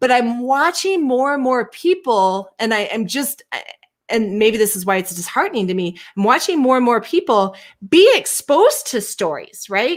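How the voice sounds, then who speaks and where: The woman's high-pitched voice moves through very wide pitch swings. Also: moderate pace. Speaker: co-host of a live show on race and inclusion. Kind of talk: casual conversation. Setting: live video stream. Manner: halting, self-interrupting.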